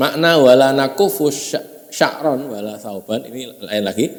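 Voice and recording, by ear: The voice shows ordinary pitch variation, and room echo can be heard. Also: man.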